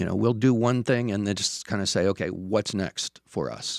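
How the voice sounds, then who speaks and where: A man with an unremarkable speaking voice, medium pitch, ordinary pitch variation and a fairly slow pace, in a very clean recording with a silent background. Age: 60s. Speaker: coffee shop owner and counselor. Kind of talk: interview.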